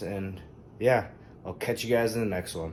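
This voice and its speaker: The man's voice sits fairly low. His intonation stays monotone and flat. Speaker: fitness vlogger. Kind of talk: casual vlog.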